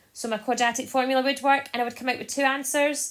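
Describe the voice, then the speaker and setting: A woman with a Scottish accent. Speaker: maths teacher. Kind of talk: tutorial. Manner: fast.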